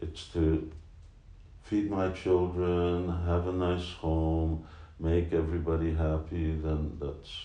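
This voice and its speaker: In a room with audible echo, a man with a very deep, low pitch and a dark, mellow tone talks at a very slow pace in a monotone, flat intonation. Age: 60s. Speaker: spiritual teacher. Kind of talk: casual chat.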